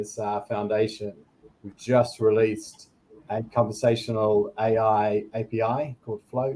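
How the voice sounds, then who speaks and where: In a New Zealand accent, a man speaks at medium pitch and a fairly slow pace, with monotone, flat intonation and a dark, mellow tone. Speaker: product director at a tech company. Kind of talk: panel discussion.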